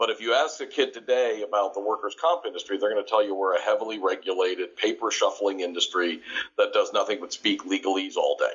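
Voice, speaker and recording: A man talking at a very fast pace with hardly any pauses. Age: 60s. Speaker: workers' comp education company co-founder. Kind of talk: podcast interview. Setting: audio podcast.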